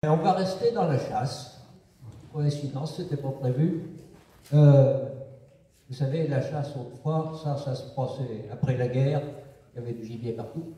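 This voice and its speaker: Over noticeable background noise, a man talks at a fairly slow pace with long, frequent pauses. His voice is fairly high in pitch, with ordinary pitch variation. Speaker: storyteller in regional dialect. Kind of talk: comic folk tale told on stage. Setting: live stage performance.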